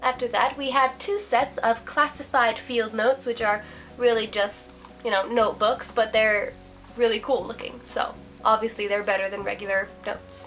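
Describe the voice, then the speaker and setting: A woman's fairly high voice at a moderate pace, fairly even in intonation, with music in the background. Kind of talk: casual talk to camera.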